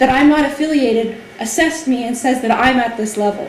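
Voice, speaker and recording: Noticeable background noise and audible room echo accompany a woman talking at a fairly quick pace with ordinary pitch variation. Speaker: language testing company representative. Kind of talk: informational lecture. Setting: hall with audience. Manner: fast.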